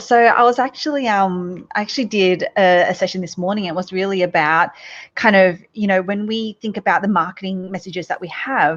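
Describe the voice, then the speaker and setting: A woman with an Australian accent, medium pitch, ordinary pitch variation and a moderate pace, against a quiet background. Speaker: business coach and entrepreneur. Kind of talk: podcast interview.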